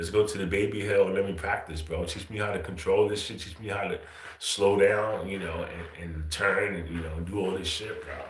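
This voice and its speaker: A man's fairly low-pitched voice at a fairly quick pace, monotone and flat in intonation, with big swings in loudness and audible room echo. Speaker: livestream host. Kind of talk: casual chat. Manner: casual slangy.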